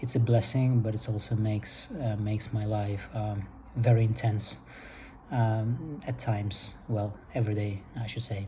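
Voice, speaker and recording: With a non-native accent, a man speaks at a moderate pace in a fairly low pitch, his voice somewhat breathy with a dark, mellow tone. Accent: foreign. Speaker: vlogger. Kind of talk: casual monologue. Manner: halting, many fillers.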